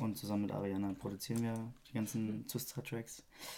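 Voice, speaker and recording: A man speaks at a fairly quick pace in a dark, mellow tone. His pitch is fairly low, his intonation fairly even. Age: 20s. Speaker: drummer and music producer. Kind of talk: casual chat.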